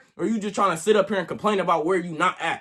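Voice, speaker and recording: A man talks very fast in a raised, projected voice with an animated tone. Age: 20s. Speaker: content creator. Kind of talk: motivational monologue. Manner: stutter.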